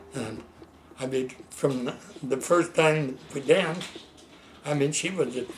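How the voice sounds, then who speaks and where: Noticeable background noise sits under speech that moves at a fairly slow pace, with long, frequent pauses and ordinary pitch variation. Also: man, fairly high pitch for a man. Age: 80s+. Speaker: elderly man recounting his life. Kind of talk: casual chat. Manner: halting.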